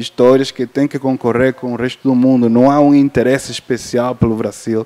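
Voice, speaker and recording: In a non-native accent, a man speaks with monotone, flat intonation. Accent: foreign accent in Portuguese. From Cuba. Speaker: film sales and distribution agent. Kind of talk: panel discussion. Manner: halting, many fillers.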